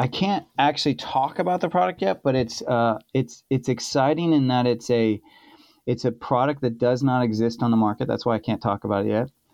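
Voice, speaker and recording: An ordinary speaking voice, male and medium in pitch, with an American accent, ordinary pitch variation, very even loudness and a fairly quick pace against a quiet background. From California. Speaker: chef. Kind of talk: casual chat.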